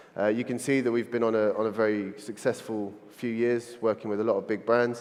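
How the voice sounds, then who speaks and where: A man with a London accent, medium-pitched, at a very fast pace. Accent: London, drops T's. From London, England. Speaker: agency founder, conference speaker. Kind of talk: conference keynote talk. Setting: stage with audience.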